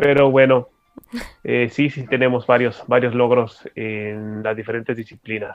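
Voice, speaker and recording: A man speaks slowly at a medium pitch in a monotone, flat intonation. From Mexico, Tijuana, Baja California. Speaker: special education adviser and adapted sports expert. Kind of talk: radio interview. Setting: radio studio.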